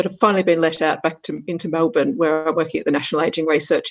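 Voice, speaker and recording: A woman with an Australian accent speaks in a fairly low pitch, recorded dry and close with no echo. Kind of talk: panel discussion.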